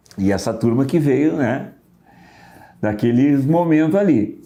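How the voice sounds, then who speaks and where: Audible room echo surrounds a man with a dark, mellow tone and a fairly high pitch, who speaks at a fairly slow pace with lively intonation. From southern Brazil. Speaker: musician. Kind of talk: casual podcast interview. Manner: hesitant, with filler words.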